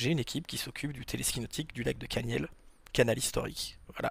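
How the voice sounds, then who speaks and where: A man talks at a fairly quick pace. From Normandy, France (Rouen). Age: 40s. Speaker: wakepark manager and sports federation official. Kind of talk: podcast interview, casual chat. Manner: hesitant, many fillers.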